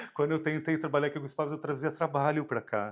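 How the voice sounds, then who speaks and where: Speaking very fast, a man with a fairly high pitch comes through in a very clean recording with a silent background. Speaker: fashion designer turned visual artist. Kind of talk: casual interview chat.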